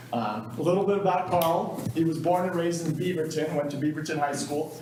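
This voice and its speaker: Noticeable background noise and audible room echo surround this man. He speaks at a fairly high pitch and a fairly quick pace with ordinary pitch variation. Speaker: police chief. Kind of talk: public meeting address. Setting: city council meeting room with audience. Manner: loud.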